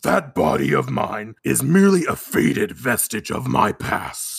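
This put-on character voice is booming and raspy, with very wide pitch swings. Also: man. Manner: spooky, ominous.

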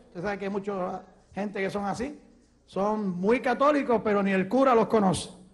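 Audible room echo surrounds a man who speaks at a high pitch and a moderate pace, with ordinary pitch variation. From Puerto Rico. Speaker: evangelist preacher. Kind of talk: sermon testimony.

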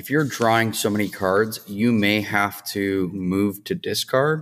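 Against a silent background in a very clean recording, a man speaks slowly in an ordinary speaking voice, his pitch fairly low. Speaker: podcast co-host. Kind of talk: casual chat.

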